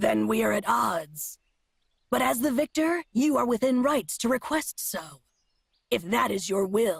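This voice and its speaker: Someone uses a put-on character voice with a fairly high pitch. The pace is moderate. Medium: video game. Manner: cryptic, formal, speaks in nature metaphors; proud and terse.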